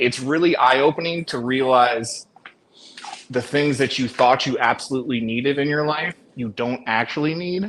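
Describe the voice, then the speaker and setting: The speaker is a man with an American accent. His pitch is medium. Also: ordinary pitch variation, moderate pace. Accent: American accent noticed by locals abroad. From USA. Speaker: US expat. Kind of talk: casual chat.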